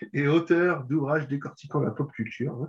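Somewhat breathy and fairly high in pitch, a man speaks at a fairly slow pace. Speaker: podcast host. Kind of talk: interview. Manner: halting.

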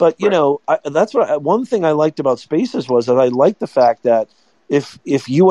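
Dry and close with no echo, a man's fairly high-pitched voice moves at a very fast pace. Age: 40s. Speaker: marketing professor. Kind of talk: casual chat. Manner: animated.

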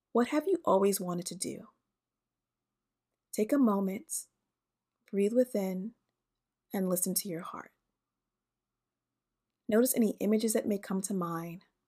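In a very clean recording with a silent background, a woman with a medium pitch and a dark, mellow tone with a slightly husky edge speaks at a fairly slow pace, with ordinary pitch variation and long, frequent pauses.

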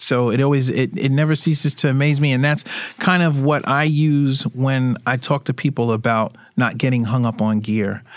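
With an American accent, a man speaks in an unremarkable speaking voice at medium pitch and a moderate pace, with ordinary pitch variation. The recording is very clean, with a silent background. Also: very even loudness. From Brooklyn, New York. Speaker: street photographer. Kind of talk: interview conversation.

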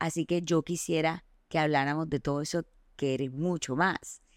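Recorded dry and close with no echo against a very clean, silent background, a woman with a normal speaking voice talks at a moderate pace, her pitch fairly low. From Colombia, Barranquilla. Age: 30s. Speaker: podcast host. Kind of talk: casual chat.

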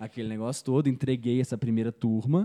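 A man with a medium pitch and a dark, mellow tone talks at a very fast pace. The sound is dry and close, with no echo. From Belo Horizonte, Brazil. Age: 20s. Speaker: digital marketing entrepreneur. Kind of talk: casual interview chat.

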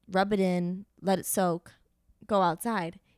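With an American accent and an animated tone, a woman speaks in a dry, close sound with no echo on a very clean recording with a silent background. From Miami, Florida. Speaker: comedian and actress. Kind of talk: casual chat.

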